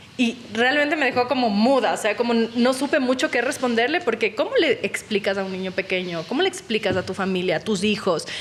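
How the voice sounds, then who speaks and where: Speaking at a fairly quick pace with hardly any pauses, a woman uses lively intonation and a fairly high pitch. She has an unremarkable speaking voice. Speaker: journalist podcast host. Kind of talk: interview.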